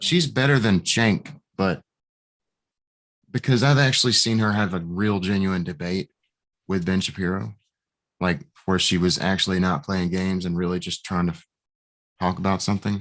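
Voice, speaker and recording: Over a quiet background, a man speaks with a very deep, low pitch and ordinary pitch variation. He leaves long, frequent pauses. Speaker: podcast host. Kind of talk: casual chat. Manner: fast.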